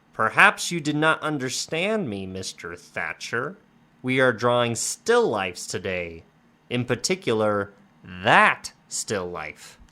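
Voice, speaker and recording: Gruff and in a put-on character voice, a man speaks at a fairly slow pace and medium pitch with very wide pitch swings. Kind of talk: formal. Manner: stern.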